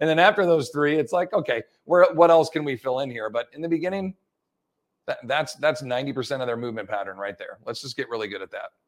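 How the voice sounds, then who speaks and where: Lively in intonation, a man speaks at a fairly high pitch and a very fast pace. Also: dry, close sound with no echo. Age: 40s. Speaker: personal trainer and fitness educator. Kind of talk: interview.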